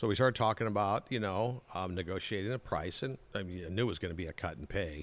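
With an American accent, a man speaks at a very fast pace. His voice is fairly low in pitch. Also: ordinary pitch variation, hardly any pauses. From Southern California (Anaheim). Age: 60s. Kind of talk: casual interview.

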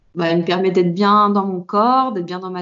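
Using an ordinary speaking voice, a woman talks at a medium pitch with fairly even intonation. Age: 30s. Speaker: fitness coach. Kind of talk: interview.

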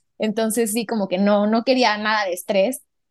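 Using an ordinary speaking voice, a woman talks at a fairly quick pace, at medium pitch and with fairly even intonation. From Mexico, Puebla. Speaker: designer, podcast guest. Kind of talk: casual chat.

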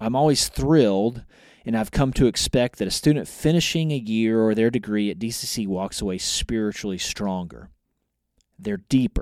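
Very clean audio with a silent background: a man, an ordinary speaking voice, medium pitch, ordinary pitch variation, moderate pace. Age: 40s. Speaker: college department chair and ministry teacher. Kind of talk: podcast interview.

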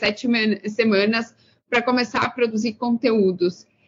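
Fairly slow delivery from a woman with a fairly high-pitched voice. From Brazil, interior of São Paulo state. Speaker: career mentor. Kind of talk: interview.

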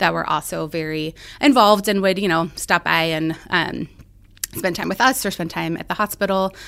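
Speaking at a fairly quick pace in an American accent, a woman has an unremarkable speaking voice with a fairly low pitch and fairly even intonation. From central Illinois. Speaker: pediatric cancer doctor. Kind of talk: interview.

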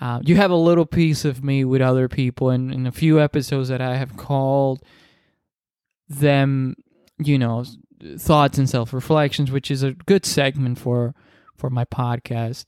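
A man with a Spanish accent speaks at a moderate pace and medium pitch. His intonation is fairly even, and the sound is dry and close with no echo. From Dominican Republic. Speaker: podcast host. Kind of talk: solo podcast monologue. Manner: halting, many repetitions and fillers.

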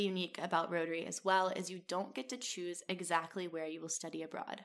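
A woman's normal speaking voice at medium pitch, fairly quick with hardly any pauses and big swings in loudness. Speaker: podcast host. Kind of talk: scripted-style solo narration.

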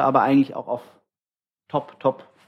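The speaker is a man with a medium pitch. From Tübingen, Swabia. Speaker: sommelier. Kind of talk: casual chat. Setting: hotel show kitchen.

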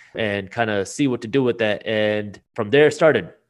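With an American accent and a normal speaking voice, a man talks at a fairly quick pace with ordinary pitch variation against a quiet background. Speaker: business founder and finance YouTuber. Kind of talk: casual interview.

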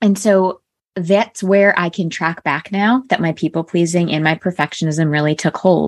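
A woman with an unremarkable speaking voice talks at a fairly low pitch with ordinary pitch variation. The recording is very clean, with a silent background and a dry, close sound with no echo. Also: moderate pace. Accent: General American. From US Northeast, Connecticut. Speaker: life coach. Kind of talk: interview.

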